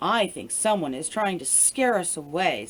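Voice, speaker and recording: Putting on a character voice, a woman growls at a medium pitch and a moderate pace. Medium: read story. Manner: calm, reasoning.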